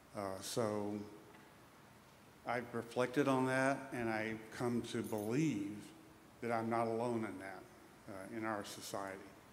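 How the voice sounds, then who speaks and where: A man with long, frequent pauses, amid audible room echo and noticeable background noise. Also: medium pitch for a man. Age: 60s. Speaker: audience member asking a question. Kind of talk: public Q&A remarks. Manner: halting.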